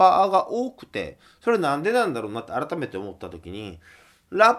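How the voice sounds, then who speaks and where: A very clean recording of a man, the background silent. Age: 20s. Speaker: folk singer-songwriter hosting a radio show. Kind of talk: solo radio talk.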